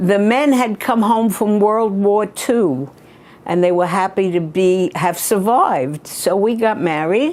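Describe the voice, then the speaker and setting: A woman speaks at a medium pitch and a fairly slow pace, with lively intonation and very even loudness. Noticeable background noise runs behind her. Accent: New York. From New York, Brooklyn. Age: 80s+. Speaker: retired local government administrator. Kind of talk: interview. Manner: outspoken.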